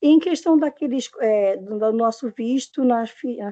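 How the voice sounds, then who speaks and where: A woman's voice is high in pitch. She talks at a fairly slow pace, with ordinary pitch variation. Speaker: internship supervisor asking a question. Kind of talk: question in online class.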